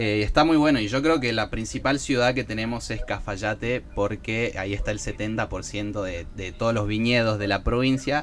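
Hardly pausing, a man with a normal speaking voice talks at a fairly slow pace, medium pitch and ordinary pitch variation. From Argentina, Salta. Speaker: podcast co-host. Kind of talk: casual chat.

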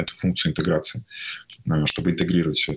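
With ordinary pitch variation, a man talks in a very deep, low voice. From Tatarstan, Russia (small town, then Kazan). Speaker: tech company CEO. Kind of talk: interview. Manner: halting, many fillers.

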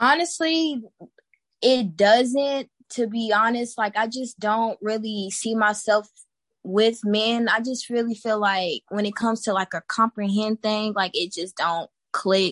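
In a dry, close sound with no echo, a woman with an American accent uses a normal speaking voice at a fairly high pitch, speaking at a fairly slow pace with ordinary pitch variation. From Texas. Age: 20s. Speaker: guest. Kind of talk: casual chat.

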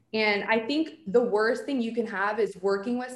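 A woman with an American accent has an unremarkable speaking voice, fairly high in pitch with ordinary pitch variation, at a moderate pace. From New Jersey. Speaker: PR agency founder. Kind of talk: casual interview.

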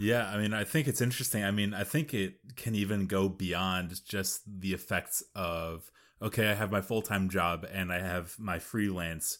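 On a very clean recording with a silent background, a man of fairly low pitch speaks at a moderate pace with ordinary pitch variation. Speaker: podcast co-host and writer. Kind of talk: casual chat.

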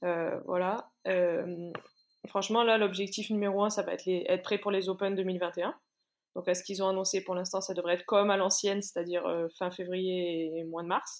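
The delivery moves at a moderate pace with monotone, flat intonation. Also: woman, medium pitch for a woman. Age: 30s. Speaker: CrossFit athlete and coach. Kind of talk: interview.

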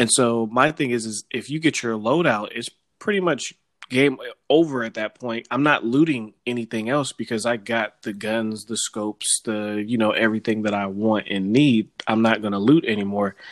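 A man with an American accent uses a normal speaking voice, medium in pitch with ordinary pitch variation, at a moderate pace, and the sound is dry and close with no echo. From Sacramento, California. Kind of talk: casual chat.

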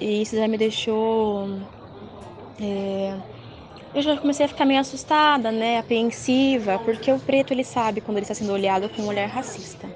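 Over noticeable background noise, a woman with a fairly high pitch speaks at a moderate pace with ordinary pitch variation and long, frequent pauses. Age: 20s. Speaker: psychology student and dance teacher. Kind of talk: panel discussion.

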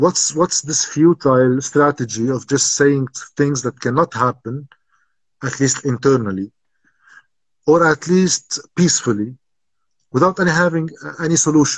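With an Arabic accent, a somewhat breathy man speaks at a moderate pace with ordinary pitch variation and long, frequent pauses. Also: fairly high pitch for a man, dry, close sound with no echo. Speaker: political commentator. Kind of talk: interview.

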